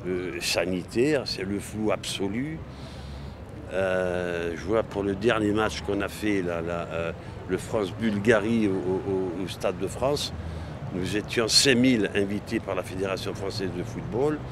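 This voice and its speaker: A man's fairly low voice at a very slow pace, with ordinary pitch variation, audible room echo and noticeable background noise. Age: 70s. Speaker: football supporter. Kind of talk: interview. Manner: halting.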